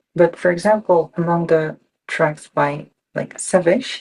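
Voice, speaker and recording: A speaker with a Japanese accent talks at a fairly slow pace. The pitch varies in an ordinary way. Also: woman. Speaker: electronic musician. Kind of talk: interview. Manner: halting.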